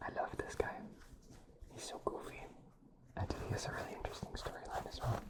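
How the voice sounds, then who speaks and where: Whispering at a fairly quick pace, with long, frequent pauses and noticeable background noise. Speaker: ASMR creator. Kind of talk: ASMR whispering.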